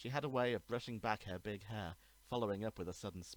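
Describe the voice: This recording is plain reading aloud.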